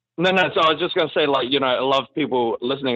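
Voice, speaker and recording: A man speaks in a New Zealand accent at a fairly high pitch. His pitch variation is ordinary. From New Zealand, Auckland. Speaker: actor. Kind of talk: casual chat.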